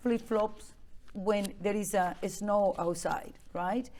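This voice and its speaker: Speaking at a very slow pace, a woman of medium pitch has a dark, mellow tone and ordinary pitch variation. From Venezuela. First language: Spanish. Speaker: immigrant advocate. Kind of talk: interview.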